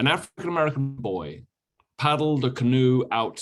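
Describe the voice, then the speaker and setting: Over music in the background, a man with a British accent speaks at medium pitch with ordinary pitch variation. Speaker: history professor. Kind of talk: lecture. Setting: video call from a motel room.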